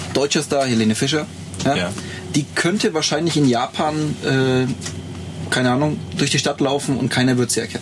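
Over noticeable background noise, a man talks at a moderate pace and medium pitch, with very even loudness and lively intonation. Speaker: photographer and graphic designer. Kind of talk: casual chat. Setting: shared single microphone in a lounge on tour.

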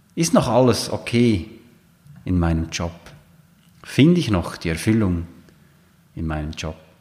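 With a very deep, low pitch and a dark, mellow tone, a man talks at a fairly slow pace with lively intonation and long, frequent pauses. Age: 40s. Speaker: coach and podcast host. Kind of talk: solo monologue podcast.

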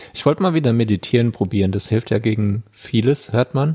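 A man speaks at a medium pitch, somewhat breathy, with a dark, mellow tone and ordinary pitch variation. The sound is dry and close with no echo. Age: 30s. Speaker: podcast co-host. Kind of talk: casual chat.

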